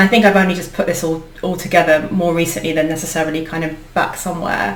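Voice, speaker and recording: Through audible room echo and noticeable background noise, a woman with a British accent speaks at a fairly low pitch with ordinary pitch variation. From UK, Indian heritage. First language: Indian language (not English). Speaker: leadership coach and founder. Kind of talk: interview conversation. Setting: video podcast recording. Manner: hesitant, many fillers.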